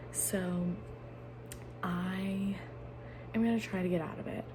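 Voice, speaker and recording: A woman speaks quietly amid noticeable background noise and audible room echo. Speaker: book vlogger. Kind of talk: casual vlog talk. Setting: home, filming at night while roommates sleep.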